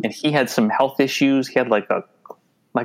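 A man with a Minnesotan accent on a very clean recording with a silent background. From Minnesota, US. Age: 50s. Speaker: adoptee and photographer. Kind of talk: casual interview.

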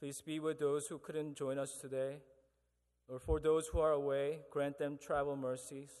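At a moderate pace, a man speaks in a fairly high voice with monotone, flat intonation. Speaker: prayer leader at chapel service. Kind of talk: congregational prayer. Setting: church.

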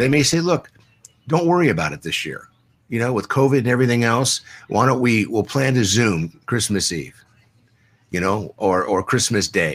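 With an American accent and vocal fry, a man at medium pitch speaks at a moderate pace with very wide pitch swings on a very clean recording with a silent background. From US West Coast, San Diego. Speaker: addiction recovery specialist. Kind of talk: interview. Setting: live stream.

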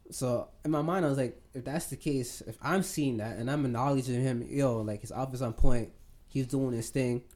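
Here a man speaks at a medium pitch. His tone is dark and mellow. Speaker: podcast co-host. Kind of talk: casual chat. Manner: laid back.

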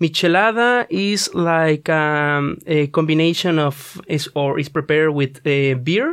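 A man with a Spanish accent speaks at a very slow pace in a fairly high pitch, against a quiet background. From Mexico. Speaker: student radio presenter. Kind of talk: casual chat. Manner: halting, many fillers.

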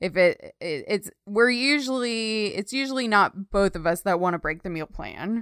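A woman speaks in a plain, everyday voice with an American accent and ordinary pitch variation. She keeps a moderate pace on a very clean recording with a silent background. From Texas. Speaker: podcast co-host, web designer. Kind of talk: casual chat.

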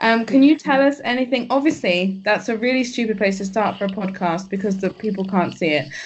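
Over noticeable background noise, someone with an English accent talks at a fairly quick clip with hardly any pauses and lively intonation. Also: woman, fairly high pitch for a woman. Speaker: academic podcast host. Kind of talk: casual interview. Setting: podcast.

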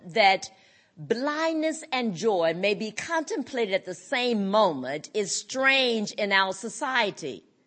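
This woman speaks very slowly with a fairly high pitch. Her pitch swings very widely. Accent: North Carolina. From US South, North Carolina. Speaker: blind rights advocate. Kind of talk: conference speech.

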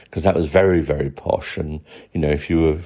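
A man's very deep, low voice with a British accent, a dark, mellow tone and fairly even intonation. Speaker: listener contributor. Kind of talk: recorded voice message. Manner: halting.

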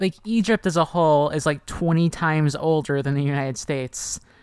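At a moderate pace, the woman talks in an unremarkable speaking voice, fairly low in pitch and varying in an ordinary way. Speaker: podcast host. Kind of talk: casual chat.

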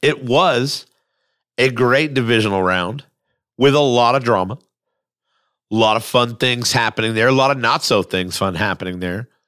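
On a very clean recording with a silent background, a man with a medium-pitched, bright, sharp voice speaks in an animated tone at a moderate pace, with ordinary pitch variation and long, frequent pauses. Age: 40s. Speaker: sports podcast host. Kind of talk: casual sports talk. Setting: studio.

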